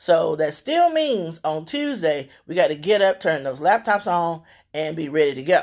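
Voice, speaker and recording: An animated woman with a fairly low pitch and lively intonation speaks at a moderate pace in a very clean recording with a silent background. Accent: Southern US. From Louisiana. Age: 50s. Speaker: radio host. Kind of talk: casual monologue.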